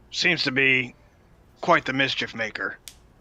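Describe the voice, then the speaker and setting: A man puts on a raspy character voice. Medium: actual play. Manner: folksy, chatty.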